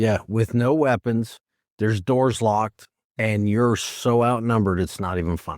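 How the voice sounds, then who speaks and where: Captured with a dry, close sound, no echo and a silent background in a very clean recording, a man with a northern US accent speaks at a medium pitch and a moderate pace with ordinary pitch variation. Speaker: former corrections and police officer. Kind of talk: casual chat.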